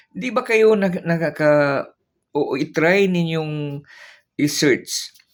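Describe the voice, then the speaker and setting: The man's intonation is lively. He talks very slowly. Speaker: retired teacher turned vlogger. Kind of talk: political commentary vlog. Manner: sad-sounding, downbeat; halting with many fillers.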